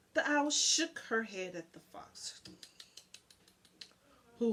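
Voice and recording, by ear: A woman speaks at a slow pace with a fairly bright tone and a slightly husky edge. Her intonation is lively.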